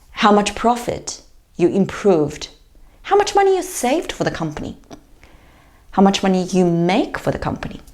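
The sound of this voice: With a slightly mellow tone and a fairly low pitch, a woman speaks at a fairly slow pace, her voice swinging very widely in pitch around long, frequent pauses.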